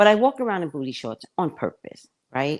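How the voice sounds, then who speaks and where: Heard over a silent background in a very clean recording, the voice swings very widely in pitch and has an animated tone. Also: woman. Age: 60s. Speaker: psychic livestream host. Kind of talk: casual chat.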